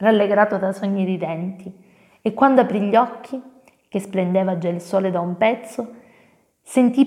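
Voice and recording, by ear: Reading aloud in a natural voice, with ordinary pitch variation, over a quiet background.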